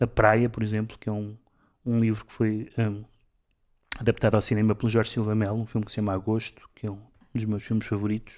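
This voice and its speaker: On a very clean recording with a silent background, a man speaks fairly quickly at a fairly low pitch in monotone, flat intonation, with big swings in loudness and long, frequent pauses. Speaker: radio co-host and literary critic. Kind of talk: casual cultural discussion. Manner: halting, many repetitions.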